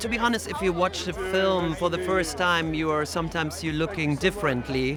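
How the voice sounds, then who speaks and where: Music plays behind a man with a high pitch and a non-native accent. He talks at a fairly quick pace with ordinary pitch variation. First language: not English. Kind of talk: interview.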